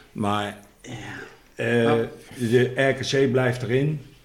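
There is audible room echo as a man speaks very slowly with fairly even intonation. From Netherlands, Rotterdam. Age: 60s. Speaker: former footballer and coach. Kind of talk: casual chat.

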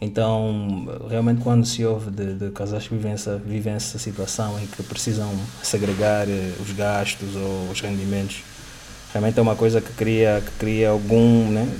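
A man's fairly low-pitched, monotone voice at a fairly slow pace, with audible room echo and noticeable background noise. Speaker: podcast host. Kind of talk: casual interview.

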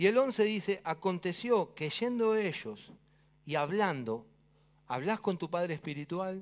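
Recorded very cleanly with a silent background, a man with an Argentine accent speaks in very wide pitch swings. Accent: Argentine Spanish (Rioplatense). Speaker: pastor. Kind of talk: sermon. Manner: animated.

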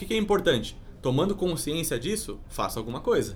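A man speaks at a fairly high pitch. Audible room echo surrounds his voice. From Brazil, Sorocaba (São Paulo state). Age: 30s. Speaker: entrepreneur. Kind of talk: casual interview.

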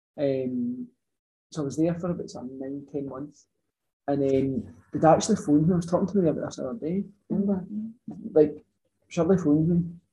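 With a Scottish accent, a man talks at a fairly quick pace in a fairly high pitch, his tone dark and mellow and somewhat breathy. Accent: Scottish (Ayrshire). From Scotland, Ayrshire. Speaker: farmer, dairy worker. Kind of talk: casual chat. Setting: in person.

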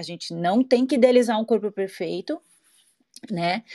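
A woman with an unremarkable speaking voice, fairly high pitch and lively intonation, dry and close with no echo over a quiet background. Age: 40s. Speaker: physical education teacher. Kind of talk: casual chat. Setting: online audio room.

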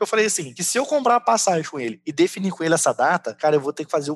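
The speech is very fast, with lively intonation. The sound is dry and close, with no echo. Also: man. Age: 30s. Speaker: salesperson. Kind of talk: casual chat.

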